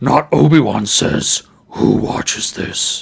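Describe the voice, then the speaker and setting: A man puts on a raspy character voice at a fairly high pitch, speaking at a fairly slow pace. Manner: stupid, exaggerated.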